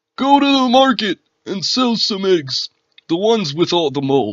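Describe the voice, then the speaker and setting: A put-on character voice at a middle pitch swings very widely in pitch. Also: moderate pace. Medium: read story.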